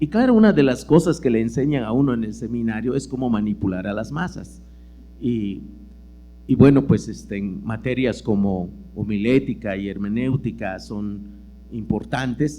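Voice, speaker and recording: A man with a Yucatán accent, fairly low pitch, dark and mellow tone, vocal fry, lively intonation and a moderate pace. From Yucatán peninsula, Mexico. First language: Yucatec Maya (speaking Spanish). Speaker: lecturer and writer. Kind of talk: lecture. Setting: auditorium with audience. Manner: conversational with many fillers.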